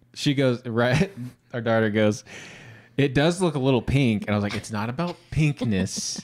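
A man's lively intonation at a moderate pace over a quiet background. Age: 30s. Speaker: podcast co-host. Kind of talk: casual chat. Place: studio. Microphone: studio mic.

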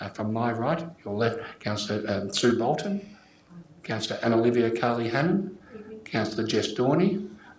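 In a room with strong echo, a man speaks at medium pitch and a moderate pace with lively intonation.

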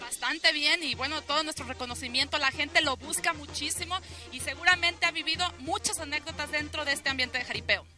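A woman's raised, projected voice, high in pitch, at a very fast pace with fairly even intonation, clear music in the background and a dry sound with no echo. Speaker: interviewer. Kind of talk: TV interview host. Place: farm. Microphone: handheld.

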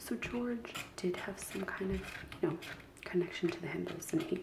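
Soft-spoken whispering over noticeable background noise. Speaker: craft vlogger. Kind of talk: casual vlog chat. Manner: soft ASMR whisper while scratching.

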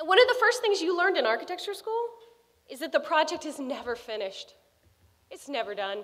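A woman talks at a fairly quick pace in a high pitch with very wide pitch swings. The background is quiet. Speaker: alumna and architect giving a speech; speaker. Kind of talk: commencement speech. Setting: stage with audience. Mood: warm, inspiring. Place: hall. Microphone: podium.

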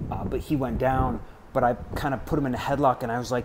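Amid audible room echo and noticeable background noise, a man talks very fast at a medium pitch. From Wisconsin, US Midwest. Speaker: vlogger. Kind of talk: casual storytelling monologue. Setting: outdoors, apartment balcony hallway.

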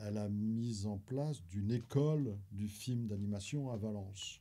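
The voice is somewhat breathy. It belongs to a man with a dark, mellow tone. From France, Paris. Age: 70s. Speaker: retired teacher and film archivist. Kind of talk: interview. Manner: halting, many repetitions.

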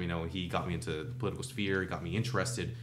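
Music plays behind a man who talks at a very fast pace. His fairly low voice has ordinary pitch variation. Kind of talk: interview answer. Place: studio. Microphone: studio mic.

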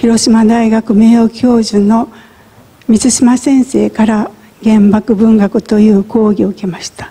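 A woman talks very slowly in a fairly high pitch, keeping her intonation fairly even. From Japan, Hiroshima; Japan. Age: 70s. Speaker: atomic bomb survivor. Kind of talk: testimony. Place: church.

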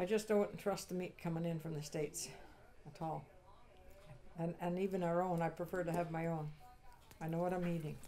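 A woman with a rural Canadian accent, fairly low in pitch, at a fairly quick pace with long, frequent pauses and monotone, flat intonation over light background noise. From Eastern Ontario, Canada; Ontario, Canada. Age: 80s+. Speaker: sheep farmer; interviewee. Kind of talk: interview. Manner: halting. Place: kitchen. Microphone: lapel.

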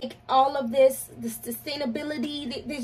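Moderate pace and high pitch from a woman speaking. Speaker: fragrance reviewer. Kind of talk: casual vlog chat. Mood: chatty and playful. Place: home room. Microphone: phone near.

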